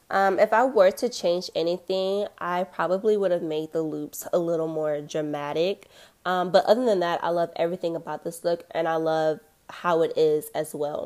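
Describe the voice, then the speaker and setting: Upbeat and bubbly, a woman speaks with a fairly low pitch and ordinary pitch variation. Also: moderate pace. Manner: upbeat, bubbly and chatty, hyping listeners with 'y'all' and 'child'; animated, personable, slick jingle-like delivery of slogans.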